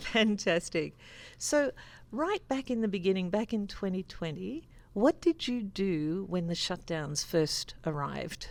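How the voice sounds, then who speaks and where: In a very clean recording with a silent background, a woman speaks with an Australian accent. Her medium-pitched voice makes very wide pitch swings at a fairly slow pace. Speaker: interviewer, sales engineer. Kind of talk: interview.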